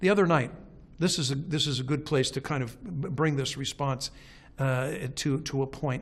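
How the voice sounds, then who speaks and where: A man speaks with a fairly high pitch and a somewhat breathy voice. His intonation stays fairly even. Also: moderate pace. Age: 60s. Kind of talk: documentary interview. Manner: halting, many repeated words.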